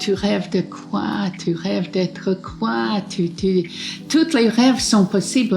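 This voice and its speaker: Music plays in the background behind a woman. She speaks very slowly in a fairly low pitch. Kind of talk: interview. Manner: halting.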